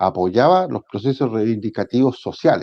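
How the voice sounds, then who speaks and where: A man's medium-pitched voice at a moderate pace. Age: 60s. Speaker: trade union leader. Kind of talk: interview. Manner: halting, many fillers and repetitions.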